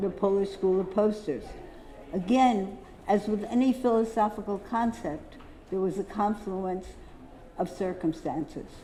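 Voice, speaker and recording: A woman with an American accent speaks at a fairly slow pace in a medium pitch with ordinary pitch variation. Audible room echo and noticeable background noise are present. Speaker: poster dealer giving a symposium talk. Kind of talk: lecture.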